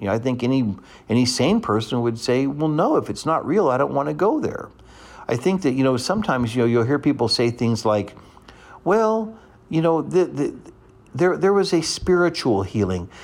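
Very wide pitch swings from a man at a medium pitch, delivered at a moderate pace. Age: 50s. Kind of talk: radio teaching monologue. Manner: conversational with frequent fillers.

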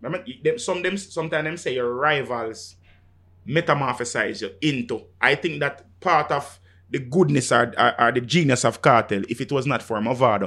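With a Jamaican accent, a man speaks at a fairly high pitch and a moderate pace, his tone bright and sharp and his intonation lively. The recording is very clean, with a silent background. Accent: Jamaican, Patois-inflected. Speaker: music selector / DJ. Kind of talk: casual chat. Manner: animated.

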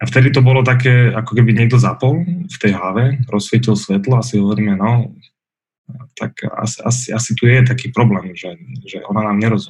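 A man speaks at a fairly quick pace in a medium-pitched, somewhat breathy voice with ordinary pitch variation. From Bratislava, western Slovakia. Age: 30s. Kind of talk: interview conversation.

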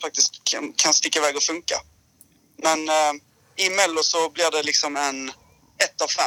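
The man's voice is fairly high-pitched, with a bright, sharp tone. It sounds dry and close, without echo. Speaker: former song contest winner, musician. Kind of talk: casual chat.

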